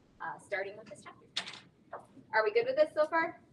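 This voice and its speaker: A woman is speaking. Her pitch moves in an ordinary way. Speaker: chemistry teacher. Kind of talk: lecture.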